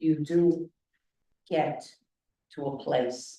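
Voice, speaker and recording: Her voice has a dark, mellow tone. This woman speaks at a very deep, low pitch. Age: 80s. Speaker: class participant. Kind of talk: class discussion.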